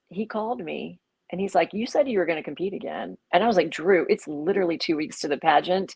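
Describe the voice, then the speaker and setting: Her tone animated, a woman speaks at a medium pitch. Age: 60s. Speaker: pageant contestant and coach. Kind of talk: interview.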